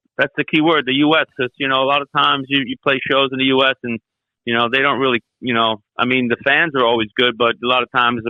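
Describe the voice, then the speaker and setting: Very fast speech in a New York accent with fairly even intonation. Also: man. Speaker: metal vocalist and bassist. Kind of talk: interview.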